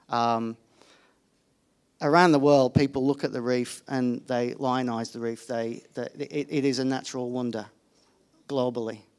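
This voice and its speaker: With a British accent, the speaker moves at a moderate pace and leaves long, frequent pauses. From United Kingdom. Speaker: environment journalist. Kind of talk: panel discussion. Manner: hesitant, many fillers and restarts.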